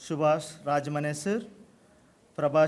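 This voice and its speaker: With a Telugu accent, a man talks at a fairly slow pace in a fairly high pitch and fairly even intonation. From South India. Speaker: college principal. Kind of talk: formal speech. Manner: halting.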